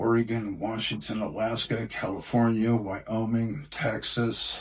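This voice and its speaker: An unremarkable speaking voice moves at a fairly slow pace. The intonation stays fairly even. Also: man, medium pitch for a man. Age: 60s. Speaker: bouncer. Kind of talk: interview storytelling.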